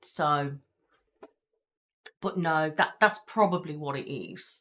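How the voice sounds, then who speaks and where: A woman speaks loudly at a very slow pace. Her very deep, low voice has a bright, sharp tone. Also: ordinary pitch variation. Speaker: ASMR creator. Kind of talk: casual live stream chat.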